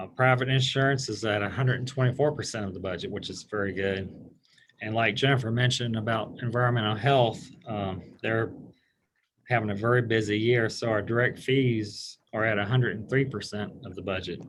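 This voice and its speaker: His is an ordinary speaking voice, medium in pitch, with fairly even intonation. The man talks at a fairly quick pace. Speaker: health department finance staff. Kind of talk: public meeting report. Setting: county board meeting.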